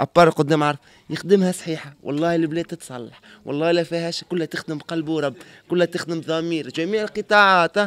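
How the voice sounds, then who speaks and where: A man speaks at a fairly quick pace in a high voice with ordinary pitch variation, in a dry sound with no echo. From Tunisia. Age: young. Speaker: former drug user; interviewee. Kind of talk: street interview. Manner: animated. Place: street. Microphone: handheld.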